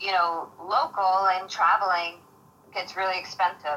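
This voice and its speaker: Bright and sharp in tone, a woman speaks with a New York accent. Her pitch is medium and her pace moderate. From Queens, New York. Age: 30s. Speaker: mixed martial arts fighter. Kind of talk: interview.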